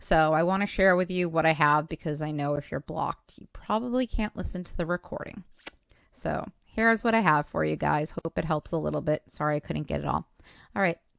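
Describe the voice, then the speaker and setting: The sound is dry and close, with no echo, as a woman talks at a fairly quick pace. Her pitch is very deep and low, with ordinary variation. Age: 40s. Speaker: YouTube channel owner sharing a recording. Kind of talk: casual vlog talk to viewers.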